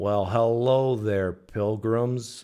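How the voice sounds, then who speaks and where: A man in a put-on character voice drawls with a Texan accent, his medium pitch held to fairly even intonation. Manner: slow, drawling.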